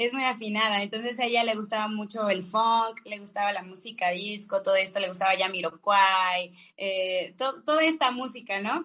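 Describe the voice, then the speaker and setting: At a moderate pace with hardly any pauses, the speaker uses ordinary pitch variation and a bright, sharp tone. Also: woman, medium pitch for a woman. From Mexico, Salamanca, Guanajuato. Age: 30s. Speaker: singer-songwriter. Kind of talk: radio interview.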